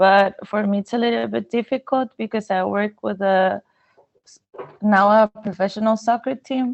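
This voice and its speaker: In a Spanish accent, the speaker keeps a moderate pace and fairly even intonation. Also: woman, medium pitch for a woman. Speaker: sports physiotherapist. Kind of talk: casual chat. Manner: halting.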